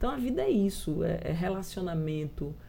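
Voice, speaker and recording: A woman talks fairly slowly, her voice carrying audible room echo. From João Pessoa, Paraíba, Brazil. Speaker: politician. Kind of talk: interview.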